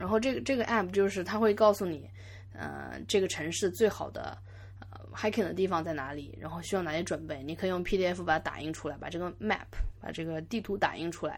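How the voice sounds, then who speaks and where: Her fairly low voice carries vocal fry as this woman speaks at a fairly quick pace, with very wide pitch swings and big swings in loudness. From Yangzhou, Jiangsu, China. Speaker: podcast host. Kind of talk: solo podcast monologue. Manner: halting, many fillers and repeats.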